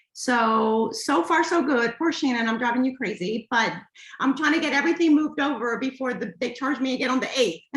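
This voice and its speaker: Audible room echo surrounds a woman with a high pitch and ordinary pitch variation. She talks at a fairly quick pace against a quiet background. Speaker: small business owner. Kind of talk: casual chat. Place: home room. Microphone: video call.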